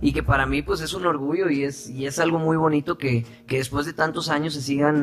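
Noticeable background noise fills the clip. A man speaks fairly quickly, his intonation fairly even. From Sinaloa, Mexico (Guasave). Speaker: actor and singer. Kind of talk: interview.

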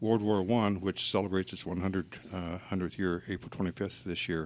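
A man's very deep, low-pitched voice. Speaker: veterans agent, navy veteran. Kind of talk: radio interview. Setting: studio.

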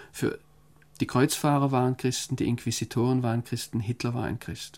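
A man speaks at medium pitch and a moderate pace, his tone dark and mellow. The recording is very clean, with a silent background. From Germany. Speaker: foreign correspondent. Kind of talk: interview. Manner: hesitant, with many fillers.

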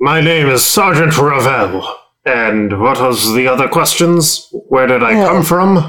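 In a put-on character voice, a man speaks at a fairly high pitch with lively intonation. His pace is fairly slow and his loudness very even. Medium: actual play. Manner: haughty, condescending.

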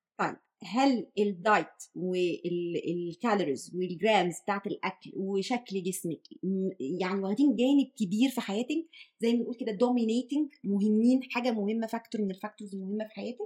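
Using an Egyptian accent, a woman speaks at a fairly high pitch with ordinary pitch variation. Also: moderate pace. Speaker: podcast host, nutrition specialist. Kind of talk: interview.

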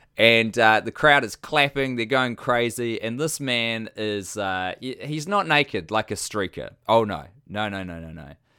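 A man with a New Zealand accent speaks at a fairly slow pace in a bright, sharp tone and a medium pitch. His intonation is lively, and the recording is very clean with a silent background. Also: big swings in loudness. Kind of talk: casual chat.

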